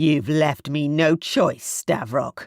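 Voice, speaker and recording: Growling in a put-on character voice, a man speaks with a fairly high pitch. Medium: read story. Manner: steely, cold.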